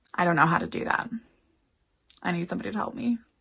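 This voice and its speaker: Ordinary pitch variation in a Canadian accent. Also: woman. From Canada. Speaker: YouTuber. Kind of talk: casual storytime to camera. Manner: chatty.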